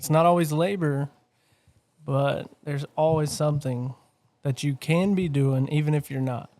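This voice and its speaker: Long, frequent pauses break up this man's speech. His fairly high voice has a dark, mellow tone and fairly even intonation. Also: moderate pace. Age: 30s. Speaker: stock car racer and business owner. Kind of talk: casual chat. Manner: hesitant, filler-heavy.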